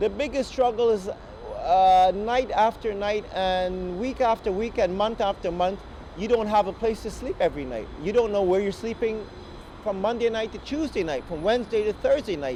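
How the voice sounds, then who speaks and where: Speech at a moderate pace against noticeable background noise. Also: man, high pitch for a man, ordinary pitch variation. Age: 30s. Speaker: homeless musician. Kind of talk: testimony. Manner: halting.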